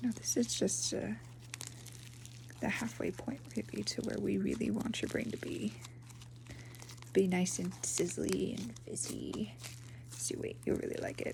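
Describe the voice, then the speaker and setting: Fairly slow speech in a gentle tone, broken by long, frequent pauses, over noticeable background noise. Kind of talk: ASMR roleplay, soft-spoken talk to the listener. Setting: ASMR recording with slime sounds. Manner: soft-spoken, gentle.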